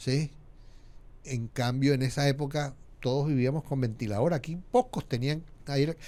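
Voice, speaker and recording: With a dark, mellow tone and a fairly high pitch, a man speaks at a moderate pace with fairly even intonation and long, frequent pauses. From Colombia, Montería (Córdoba), Caribbean coast. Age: 60s. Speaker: media founder and communicator. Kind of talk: podcast interview.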